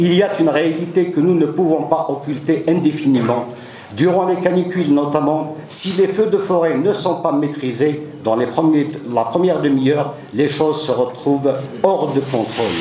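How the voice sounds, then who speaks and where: A man with a fairly high pitch speaks at a moderate pace with very even loudness and ordinary pitch variation, while noticeable background noise and audible room echo are present. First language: Kabyle (speaking French). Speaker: local elected official. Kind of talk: formal speech at assembly session. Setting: assembly session hall. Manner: formal.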